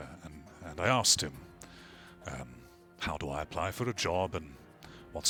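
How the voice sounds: Over music in the background, a man with a very deep, low pitch speaks at a moderate pace with lively intonation.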